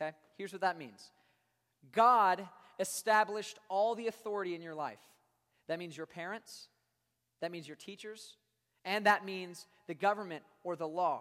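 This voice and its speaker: The speaker pauses often, and the pauses run long. The pace is moderate, with an American accent. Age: 20s. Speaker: youth pastor. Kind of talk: sermon to middle-school students. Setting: youth service with live audience. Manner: animated.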